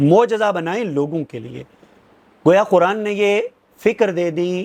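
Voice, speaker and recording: A man with a high pitch and ordinary pitch variation speaks with big swings in loudness. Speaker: Islamic scholar / preacher. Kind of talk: religious lecture.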